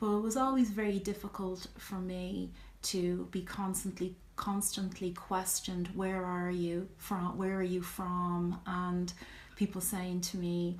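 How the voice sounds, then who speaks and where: In a strong Irish accent, the somewhat breathy voice moves at a fairly slow pace with monotone, flat intonation and audible room echo. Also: woman, medium pitch for a woman. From Ireland. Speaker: vlogger. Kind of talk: personal vlog talk, answering questions. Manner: hesitant, many fillers.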